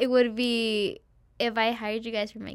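The speaker has a normal speaking voice with ordinary pitch variation. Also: woman, very clean recording, silent background. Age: 20s. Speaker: former client of a photography studio. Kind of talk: casual chat.

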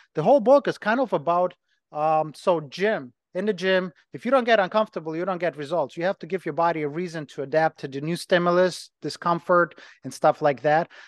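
In a Ukrainian accent, a man with a high pitch speaks at a fairly quick pace with ordinary pitch variation, the sound dry and close with no echo against a quiet background. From Ukraine. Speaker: personal trainer and gym owner. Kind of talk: casual interview chat.

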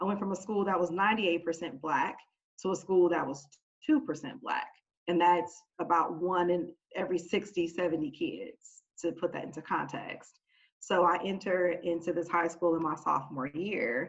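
An ordinary speaking voice from a woman with an American accent, fairly low in pitch, at a fairly slow pace with ordinary pitch variation. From Oakland, California. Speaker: corporate team leader. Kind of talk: panel discussion.

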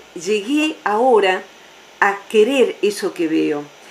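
A woman talks very slowly while noticeable background noise carries on. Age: 50s. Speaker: psychologist. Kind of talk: radio interview.

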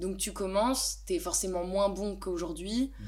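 A woman at a fairly quick pace, against noticeable background noise. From eastern France, Besançon. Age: 20s. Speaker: DJ and singer. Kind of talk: casual chat. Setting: home studio. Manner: hesitant, with frequent fillers.

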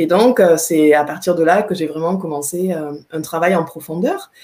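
Her voice sits at a fairly low pitch. The woman's tone is dark and mellow. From France, Aveyron. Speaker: writer, poet and trainer. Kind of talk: interview in a live video stream.

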